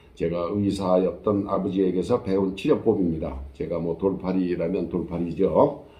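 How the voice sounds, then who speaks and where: A man's very deep, low pitch at a moderate pace, with ordinary pitch variation, hardly any pauses, and audible room echo. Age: 70s. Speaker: storyteller vlogger. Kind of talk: personal storytelling monologue. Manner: casual, conversational with fillers.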